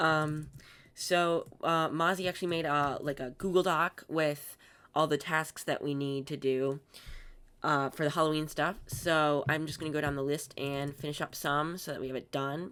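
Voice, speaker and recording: A woman's very deep, low-pitched voice at a moderate pace, monotone and flat in intonation, on a very clean recording with a silent background. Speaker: gaming YouTuber. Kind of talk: gameplay commentary.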